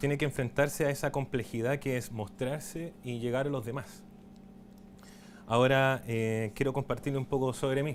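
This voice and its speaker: Speaking at a moderate pace, a man with a medium pitch keeps his intonation fairly even. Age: 30s. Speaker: documentary filmmaker and writer giving a talk. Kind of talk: conference talk. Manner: hesitant, many fillers and restarts.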